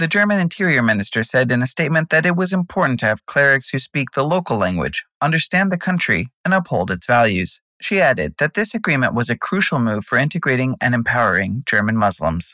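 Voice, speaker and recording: A man with a fairly high, vocal-fried voice and a bright, sharp tone talks at a fairly quick pace with very wide pitch swings. His loudness stays very even, and the sound is dry and close with no echo. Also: quiet background. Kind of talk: news reading. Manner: brisk, even, formal news-anchor delivery.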